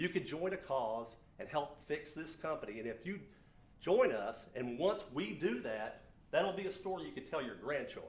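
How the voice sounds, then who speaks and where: Lively in intonation and fairly high in pitch, a man talks at a moderate pace with audible room echo. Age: 60s. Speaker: business owner and speaker. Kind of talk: motivational talk.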